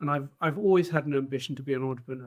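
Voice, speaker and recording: The speaker has a British accent and ordinary pitch variation. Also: man. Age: 60s. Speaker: trade association head, entrepreneur. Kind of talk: podcast interview.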